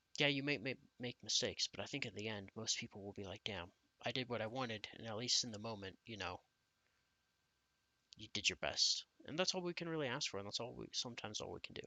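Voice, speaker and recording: At a very fast pace, a man speaks with lively intonation and a medium pitch. Long, frequent pauses break up his speech. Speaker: YouTuber. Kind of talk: casual vlog monologue. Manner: halting, many fillers and restarts.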